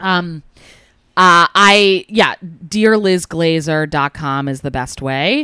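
On a very clean recording with a silent background, a woman speaks in an American accent at a very slow pace. Her bright, sharp tone has lively intonation, and the sound is dry and close, with no echo. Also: fairly low pitch for a woman. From New Jersey. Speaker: comedian. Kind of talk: casual chat.

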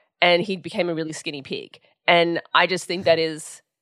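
A woman talks at a moderate pace in an Australian accent, her pitch fairly low. The recording is very clean with a silent background, dry and close with no echo. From Sydney, Australia. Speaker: writer and podcast host. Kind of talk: interview.

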